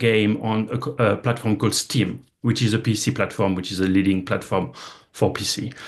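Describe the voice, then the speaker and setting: A man speaks with a French accent at a medium pitch. His pace is moderate, and the background is quiet. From France. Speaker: gaming industry executive. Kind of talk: investment presentation talk. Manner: halting, many repetitions and fillers.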